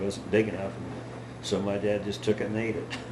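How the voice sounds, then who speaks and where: A man's fairly low voice with an American accent, monotone and flat, amid noticeable background noise and audible room echo. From Utah, Emery County. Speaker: great-grandfather telling life stories. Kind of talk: family storytelling interview. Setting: at home with family.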